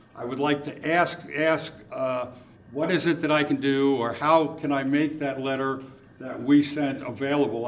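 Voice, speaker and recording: A man with a fairly high pitch and fairly even intonation speaks at a moderate pace amid noticeable background noise and audible room echo. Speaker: condo association representative at public comment. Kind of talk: public comment at city meeting. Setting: city commission meeting. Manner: loud; raises voice when passionate.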